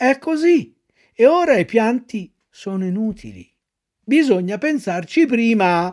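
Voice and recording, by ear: The intonation is lively as someone reads aloud in a natural voice over a quiet background.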